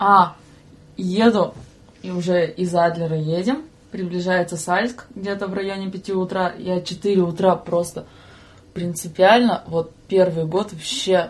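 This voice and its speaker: Talking very slowly with long, frequent pauses, a woman keeps a medium pitch and fairly even intonation. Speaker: train conductor and video operator. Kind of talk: casual chat. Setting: studio. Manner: loud.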